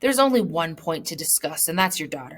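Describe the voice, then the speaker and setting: A woman puts on a growling character voice at a fairly low pitch. She moves at a fairly quick pace with very wide pitch swings. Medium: read story. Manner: brusque, commanding.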